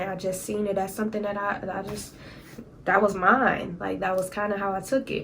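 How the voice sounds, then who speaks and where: Noticeable background noise and audible room echo around a woman of medium pitch speaking at a fairly quick pace. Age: 20s. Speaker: YouTuber. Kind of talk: story time vlog. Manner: casual, conversational.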